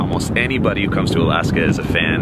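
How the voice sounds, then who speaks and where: A man rattles along at a very fast pace, the sound dry with no echo, amid loud background noise. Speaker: vlogger. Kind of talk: casual vlog chat. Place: street. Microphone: phone near.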